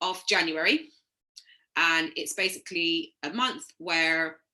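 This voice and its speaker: A woman speaks at a very slow pace. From Caribbean. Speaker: yoga teacher trainee. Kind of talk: recorded presentation. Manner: hesitant, many ums.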